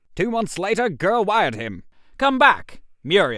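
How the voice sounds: Using a put-on character voice, a man speaks at a high pitch and a fairly slow pace, bright and sharp in tone, with very wide pitch swings.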